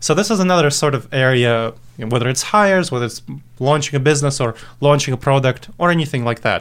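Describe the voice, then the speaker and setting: At a very fast pace, a man with an Eastern European accent speaks fairly high, his pitch varying in an ordinary way. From Moldova, moved to the US at age ten. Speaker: author and decision-making consultant. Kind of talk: podcast interview.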